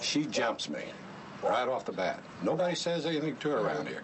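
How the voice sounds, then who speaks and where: Noticeable background noise and audible room echo around a man talking at a fairly quick pace. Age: 60s. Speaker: neighbor in a dispute. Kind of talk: police interview.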